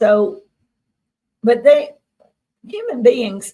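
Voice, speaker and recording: A woman with a Mississippi accent. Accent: Southern US (Mississippi). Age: 60s. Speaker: experiencer guest. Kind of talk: interview.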